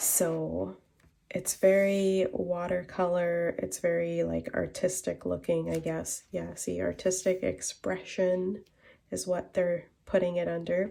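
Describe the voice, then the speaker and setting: In a very clean recording with a silent background, a woman speaks at a very slow pace. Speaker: craft demonstrator. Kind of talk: tutorial. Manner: quieter, lower than usual; casual, many fillers.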